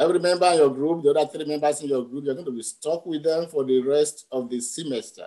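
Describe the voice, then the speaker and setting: A man's fairly high-pitched voice with a dark, mellow tone, at a moderate pace against a quiet background. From Nigeria. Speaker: veterinary anatomy professor. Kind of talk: panel discussion. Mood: warm, reflective. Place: home room. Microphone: video call.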